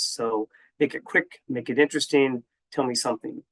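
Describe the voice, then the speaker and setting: A fairly quick American-accented voice with fairly even intonation, recorded dry and close with no echo. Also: man. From Minnesota, US Upper Midwest. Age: 60s. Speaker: HR speaker. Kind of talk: conference presentation.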